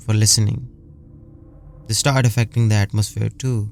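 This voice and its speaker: The voice is a man's. He speaks at a medium pitch. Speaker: horror story narrator. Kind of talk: horror story narration. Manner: chilling, dramatic.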